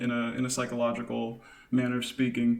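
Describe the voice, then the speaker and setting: A man talks at a fairly quick pace. Noticeable background noise and audible room echo surround his voice. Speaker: podcast co-host. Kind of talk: casual chat. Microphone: slight echo from kitchen.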